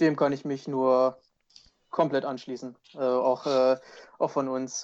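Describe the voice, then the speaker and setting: The pace is fairly slow. Intonation stays monotone and flat throughout. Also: man. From Wolfsburg, Lower Saxony. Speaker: triathlete. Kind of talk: casual chat.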